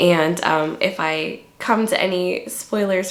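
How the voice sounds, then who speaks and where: Noticeable background noise is present. Over it, a woman talks with fairly even intonation. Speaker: book reviewer. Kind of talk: casual book review monologue. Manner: hesitant, many fillers.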